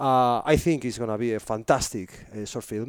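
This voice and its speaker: A man speaks fairly quickly with a Spanish accent at medium pitch. The recording is very clean, with a silent background. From northern Spain. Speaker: filmmaker and photographer. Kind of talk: interview conversation. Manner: enthusiastic, polite.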